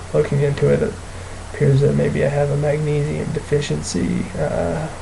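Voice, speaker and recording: A man's moderate-paced speech carries audible room echo amid noticeable background noise. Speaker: video blogger with chronic illness. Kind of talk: personal video diary. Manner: halting, many fillers.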